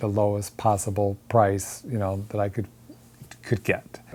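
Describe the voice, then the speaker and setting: A man's dark, mellow tone at a moderate pace. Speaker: dumpster-dive artist. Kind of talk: interview testimony. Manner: halting.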